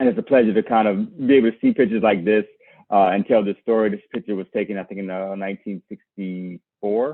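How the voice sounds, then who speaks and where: Here a man speaks very fast with an American accent. His pitch is fairly low, with ordinary variation. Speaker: farmer. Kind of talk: lecture. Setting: video call.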